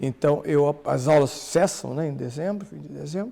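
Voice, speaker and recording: At a moderate pace, a man uses an unremarkable speaking voice with lively intonation. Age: 60s. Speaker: priest and bible scholar. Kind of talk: podcast interview.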